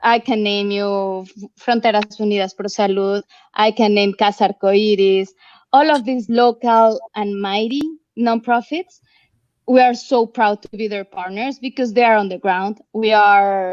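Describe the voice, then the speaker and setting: A woman speaks with a Mexican accent. The sound is dry and close, with no echo. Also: fairly high pitch for a woman, fairly even intonation, fairly slow pace. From Mexico. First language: Spanish. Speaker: nonprofit representative. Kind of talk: online panel interview.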